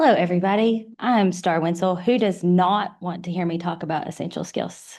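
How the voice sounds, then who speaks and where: A woman at a medium pitch and moderate pace, with fairly even intonation, hardly any pauses and a quiet background. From Eastern Kentucky. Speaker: university program director. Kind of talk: panel discussion.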